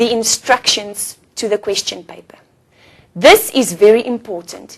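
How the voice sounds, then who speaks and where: A woman with an Afrikaans South African accent talks at a fairly slow pace. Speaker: teacher. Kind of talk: lecture. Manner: slightly halting.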